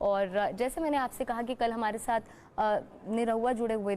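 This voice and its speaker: A woman with a plain, everyday voice speaks at a fairly high pitch with fairly even intonation. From Uttarakhand, India. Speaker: TV news anchor. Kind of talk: live TV interview. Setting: remote video link on Facebook live.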